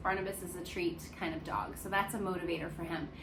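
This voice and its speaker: The speaker has an American accent, and audible room echo surrounds the voice. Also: woman. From United States. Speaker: dog care vlogger. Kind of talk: casual vlog talk, unedited single take. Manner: conversational with frequent fillers.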